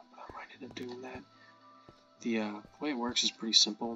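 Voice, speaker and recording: A man at a moderate pace, monotone with flat intonation, music in the background. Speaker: game modder. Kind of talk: casual gameplay commentary.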